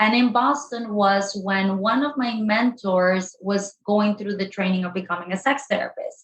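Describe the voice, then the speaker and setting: With a Spanish accent, a woman speaks in a somewhat breathy voice. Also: medium pitch for a woman, ordinary pitch variation, moderate pace, hardly any pauses. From Colombia. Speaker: sex therapist. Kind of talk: podcast interview.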